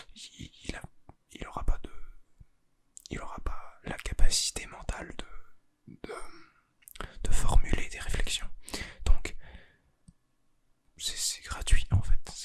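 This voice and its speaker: Whispering, a man pauses long and often while his loudness swings widely. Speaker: ASMR content creator. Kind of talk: ASMR roleplay, secret agent. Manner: whispered, soft-spoken.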